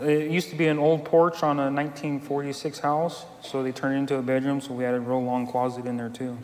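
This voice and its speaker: Against noticeable background noise, a speaker with an American accent moves at a fairly quick pace with hardly any pauses and fairly even intonation. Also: man, fairly high pitch for a man. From California. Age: 50s. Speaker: recovery group member. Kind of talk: testimony.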